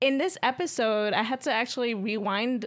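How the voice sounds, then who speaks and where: In a very clean recording with a silent background, a woman speaks with an American accent and a normal speaking voice. Her fairly high pitch carries lively intonation at a moderate pace. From New York. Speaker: guest co-host. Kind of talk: casual chat.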